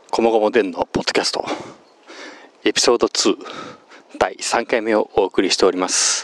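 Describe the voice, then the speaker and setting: Noticeable background noise sits under a dry, close sound with no echo as a man speaks at a fairly quick pace with long, frequent pauses. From Japan, Kochi. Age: 30s. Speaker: podcast host. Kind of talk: casual self-interview monologue. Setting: outdoors, walking.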